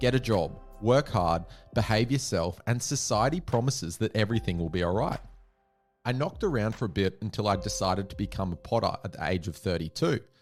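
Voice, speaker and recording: Over music in the background, a man with an Australian accent talks at a fairly quick pace in a fairly low pitch with lively intonation. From Australia (Tasmania, then Victoria). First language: Auslan (Australian sign language). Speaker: self-made millionaire sharing life story. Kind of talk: scripted narration.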